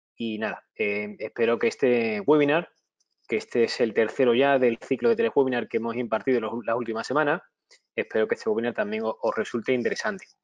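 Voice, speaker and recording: A man speaks at medium pitch. His pace is fairly quick. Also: ordinary pitch variation. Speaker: webinar presenter, IT auditor and consultant. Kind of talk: webinar lecture. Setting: online webinar. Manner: halting, many fillers and restarts.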